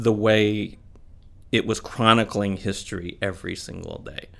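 A man's normal speaking voice at medium pitch and a moderate pace, in an American accent. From Missouri (Kansas City, St. Louis). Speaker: newspaper editor and publisher. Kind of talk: casual interview.

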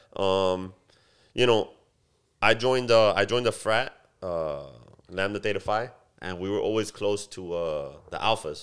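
On a very clean recording with a silent background, a man with an American accent speaks at a moderate pace and a fairly low pitch, with fairly even intonation and long, frequent pauses. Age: 30s. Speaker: barber and business owner. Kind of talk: casual chat.

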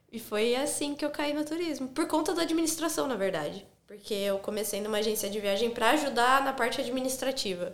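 A high-pitched woman talks at a fairly quick pace with lively intonation and hardly any pauses, amid noticeable background noise and audible room echo. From interior of São Paulo state, Brazil. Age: 30s. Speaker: former travel agent, travel content creator. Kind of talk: casual interview chat.

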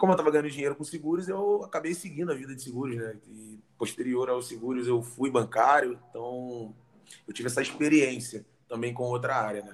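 A man with a plain, everyday voice talks at a medium pitch and a fairly quick pace, with ordinary pitch variation. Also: big swings in loudness. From Rio de Janeiro, Brazil. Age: 30s. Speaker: fitness professional. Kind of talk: casual interview.

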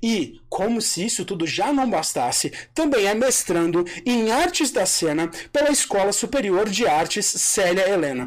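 Speaking at a fairly slow pace, a man moves through very wide pitch swings. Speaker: podcast host. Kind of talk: casual chat. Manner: joking, animated.

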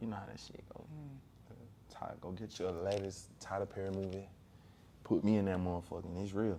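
A man's very deep, low voice with a dark, mellow tone, monotone, flat intonation and a fairly quick pace, in an American accent, with audible room echo. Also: big swings in loudness. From Augusta, Georgia. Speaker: rapper. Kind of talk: interview.

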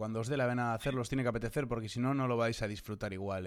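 The recording is very clean and the background silent. A man talks in a medium pitch with fairly even intonation. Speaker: podcast host. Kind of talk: interview.

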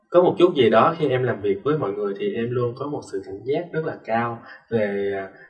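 With an ordinary speaking voice, a man talks at a moderate pace and medium pitch. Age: 20s. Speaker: student and dancer. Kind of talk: interview.

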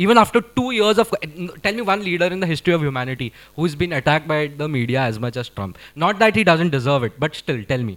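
At a very fast pace, a man speaks in a fairly high voice with an animated tone and very wide pitch swings. The recording is very clean, with a silent background. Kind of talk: casual chat.

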